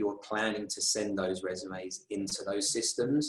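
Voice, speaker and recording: Speaking with a London accent, a man has a fairly low pitch. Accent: British (London). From London, England. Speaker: recruiter and conference speaker. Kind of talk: conference talk.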